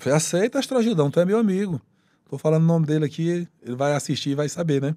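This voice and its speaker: A man speaks very fast with lively intonation and a dark, mellow tone, his pitch fairly high, over a quiet background. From Piauí, Brazil (Corrente, far south); Piauí, Brazil. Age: 50s. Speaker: police colonel and state politician; state politician. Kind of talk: casual interview. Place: studio. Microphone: studio mic.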